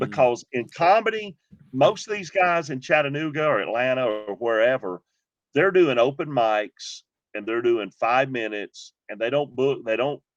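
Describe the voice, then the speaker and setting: Against a quiet background, a man with a Southern US accent talks at a moderate pace with medium pitch and lively intonation, in a dry, close sound with no echo. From Georgia. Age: 50s. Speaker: comedian, former pastor. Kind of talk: interview answer. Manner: upbeat.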